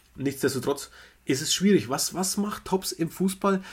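A man's voice, a bit breathy, shows the usual amount of pitch change. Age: 30s. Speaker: podcast co-host, trading card collector. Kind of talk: casual chat.

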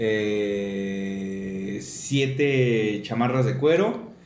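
A man speaks at a medium pitch with lively intonation. Audible room echo and noticeable background noise surround the voice. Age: 50s. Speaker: podcast co-host. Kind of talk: casual chat.

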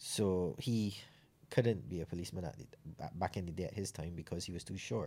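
With a very deep, low pitch and a dark, mellow tone, a man talks at a fairly quick pace, showing vocal fry and ordinary pitch variation. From Barbados, Saint John. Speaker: para bobsleigh athlete and ex-soldier. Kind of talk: interview.

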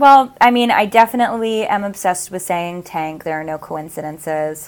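An ordinary speaking voice from a woman at medium pitch with lively intonation. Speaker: astrologer and author. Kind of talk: casual podcast interview.

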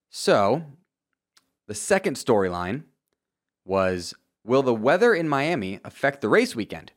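A man's medium-pitched voice with very wide pitch swings, a fairly slow pace and long, frequent pauses, on a very clean recording with a silent background. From Florida, Tampa Bay area. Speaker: motorsport podcast host. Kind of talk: solo podcast recap. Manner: animated.

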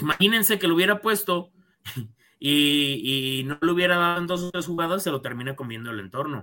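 In a very clean recording with a silent background, a man's high, bright, sharp voice moves at a moderate pace with lively intonation. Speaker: football podcast co-host. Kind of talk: casual sports chat.

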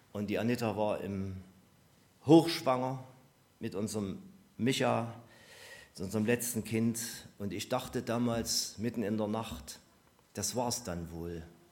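A man speaks at a medium pitch and fairly slow pace, with long, frequent pauses. Pitch variation is ordinary, and audible room echo surrounds him. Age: 60s. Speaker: preacher. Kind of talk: sermon. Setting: church service with congregation.

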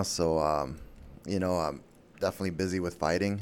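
A man's very deep, low voice, with ordinary pitch variation and a moderate pace. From Guam. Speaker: MMA fighter. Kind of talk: casual interview. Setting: studio.

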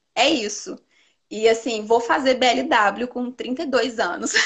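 This woman has a high pitch. She talks at a very slow pace. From Teófilo Otoni, northeast Minas Gerais, Brazil. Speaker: nutritionist. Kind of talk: casual interview.

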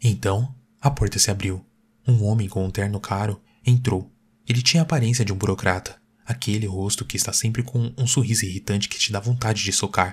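On a very clean recording with a silent background, a man with fairly low pitch speaks at a fairly quick pace in a somewhat breathy voice. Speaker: narrator of horror stories. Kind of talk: horror story narration, first-person. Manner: changes voice for dialogue, with a cold, clipped official and a flat PA announcer.

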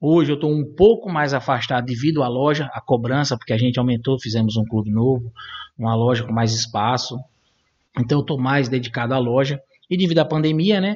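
A somewhat breathy man at a medium pitch with ordinary variation, speaking at a fairly quick pace. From Brazil, São Paulo. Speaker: gun shop and shooting club owner. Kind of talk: interview.

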